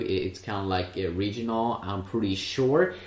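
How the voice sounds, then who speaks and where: Fairly low-pitched male voice with audible room echo. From Sweden. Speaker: tech reviewer. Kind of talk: product review. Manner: hesitant, many filler sounds.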